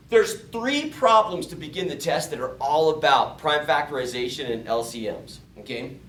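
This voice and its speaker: A man's animated voice at a moderate pace, with very wide pitch swings and audible room echo. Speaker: math teacher. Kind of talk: lecture.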